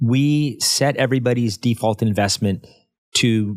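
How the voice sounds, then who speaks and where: A man speaks in an ordinary speaking voice at medium pitch with ordinary pitch variation. The recording is very clean, with a silent background. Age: 50s. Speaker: financial advisor. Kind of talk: interview podcast.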